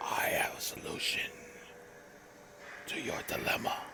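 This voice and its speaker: A man whispers at a moderate pace, using a put-on character voice. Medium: read story. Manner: menacing.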